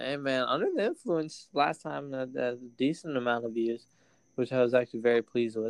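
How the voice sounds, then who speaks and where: This man has an ordinary speaking voice, medium in pitch, moving at a moderate pace with ordinary pitch variation. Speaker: podcast host. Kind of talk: casual banter. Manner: casual, slangy.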